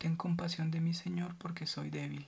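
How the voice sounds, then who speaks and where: The speaker is soft-spoken with a gentle tone. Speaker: ASMR reader. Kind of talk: ASMR scripture reading. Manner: soft-spoken, gentle, quiet ASMR reading.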